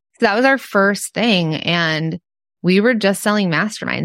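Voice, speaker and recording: A woman with an American accent over a quiet background. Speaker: entrepreneur and podcast cohost. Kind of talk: casual interview chat.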